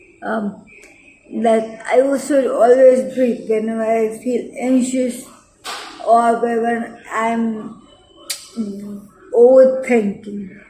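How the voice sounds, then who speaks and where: Very slow pace with long, frequent pauses amid noticeable background noise. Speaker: health vlogger with lupus. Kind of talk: personal vlog talk. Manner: halting, with fillers and restarts.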